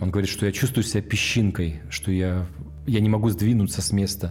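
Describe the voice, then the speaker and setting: A man's fairly low voice, an ordinary speaking voice, at a moderate pace with ordinary pitch variation. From Russia, Kamchatka (Petropavlovsk-Kamchatsky). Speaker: social entrepreneur, tour organizer. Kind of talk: documentary interview.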